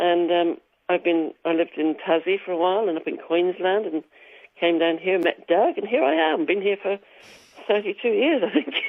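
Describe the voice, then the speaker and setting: The voice has an English accent and ordinary pitch variation. It moves at a moderate pace. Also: woman, medium pitch for a woman. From England, Wiltshire. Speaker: singer and musician. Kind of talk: radio interview.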